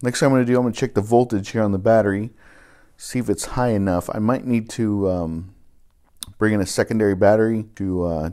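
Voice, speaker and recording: This man's voice has a dark, mellow tone. His pitch varies in an ordinary way. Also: quiet background. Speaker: DIY car repair channel host. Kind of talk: tutorial. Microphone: phone near.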